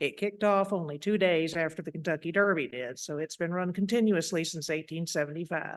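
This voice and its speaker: Speaking at a moderate pace, a woman uses a fairly low pitch with a Tennessee accent. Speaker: horse racing historian and author. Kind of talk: lecture. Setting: lecture hall with audience.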